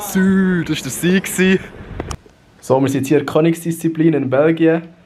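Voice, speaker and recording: Someone with a Swiss German accent speaks at a moderate pace and with fairly even intonation, amid noticeable background noise. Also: man, high pitch for a man. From Switzerland. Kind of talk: casual vlog talk to camera.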